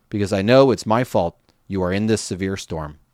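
The voice has a dry, close sound with no echo, in a very clean recording with a silent background. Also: man. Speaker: podcast host reading the Bible. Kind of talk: scripture reading aloud, steady and reverent. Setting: podcast recording. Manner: measured, clear, even-paced narration.

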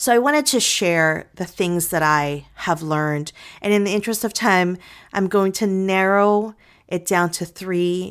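A woman with an unremarkable speaking voice, fairly low pitch and ordinary pitch variation, at a fairly slow pace, on a very clean recording with a silent background. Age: 40s. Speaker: podcast host and author. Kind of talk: casual solo talk.

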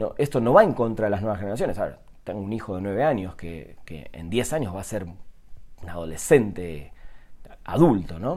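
Over audible room echo, a man with a fairly low pitch talks at a fairly quick pace, his intonation lively and his loudness swinging widely. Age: 40s. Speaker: podcaster. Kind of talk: solo monologue. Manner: halting, many repetitions and fillers.

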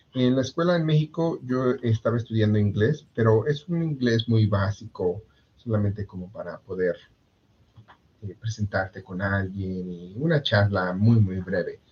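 A man speaks at a fairly slow pace, his pitch fairly low. His voice is somewhat breathy, with lively intonation. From Mexico, Puebla. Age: 30s. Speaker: insurance agent. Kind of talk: interview. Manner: halting, many fillers and repetitions.

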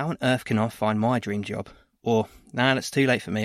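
An unremarkable speaking voice from a man, medium in pitch, at a moderate pace, on a very clean recording with a silent background. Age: 30s. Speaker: podcast host and training provider. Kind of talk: scripted podcast introduction.

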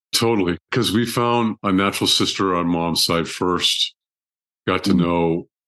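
A man with an American accent, very deep and low in pitch, at a moderate pace, in a dry, close sound with no echo against a quiet background. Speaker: trauma surgeon and author. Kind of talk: casual interview conversation.

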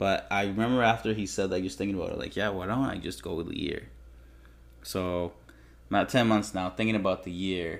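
Fairly low-pitched male voice at a fairly quick clip, relaxed in tone, with ordinary pitch variation. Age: 20s. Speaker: podcaster. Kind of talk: casual solo monologue. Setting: home recording with old mic and laptop. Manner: relaxed, filler-heavy, frequent laughs.

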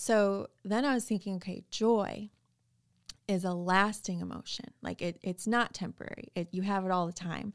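On a very clean recording with a silent background, a woman with an ordinary speaking voice talks at medium pitch, at a moderate pace and with fairly even intonation. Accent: American. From Chicago suburbs. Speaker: former teacher, corporate worker. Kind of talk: casual chat. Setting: studio.

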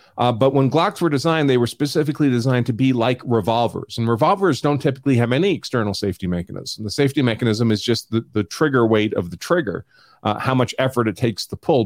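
Speaking very fast with an American accent, a man comes through in a dry, close sound with no echo. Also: very clean recording, silent background. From New York. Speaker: attorney and show host. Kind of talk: legal analysis live stream. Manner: talks over people.

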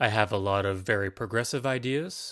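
A normal speaking voice from a man with a Canadian accent, fairly low in pitch, at a fairly quick pace, with ordinary pitch variation. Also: very clean recording, silent background. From Ontario, Canada. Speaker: political podcaster. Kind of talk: solo monologue.

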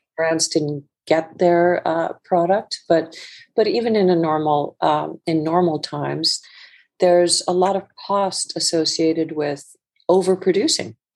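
With an Icelandic accent, a woman speaks at a fairly slow pace in a fairly low voice with fairly even intonation. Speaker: fashion entrepreneur. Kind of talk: interview. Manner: halting, with repeated words.

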